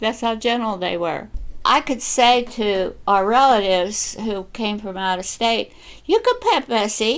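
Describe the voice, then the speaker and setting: Speaking at a fairly slow pace with an American accent and ordinary pitch variation, the voice plays over music in the background. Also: woman. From western Pennsylvania, USA. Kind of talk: personal storytelling, family memories.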